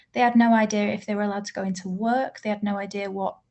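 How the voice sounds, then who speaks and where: A woman's voice sounds somewhat breathy. Her intonation stays fairly even. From Manchester, northern England. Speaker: bereaved relative giving evidence. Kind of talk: oral evidence to a parliamentary group. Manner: formal.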